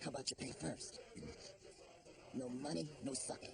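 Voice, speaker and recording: At a moderate pace, a put-on character voice speaks over clear background noise. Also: man, medium pitch for a man. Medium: fan dub. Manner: curt.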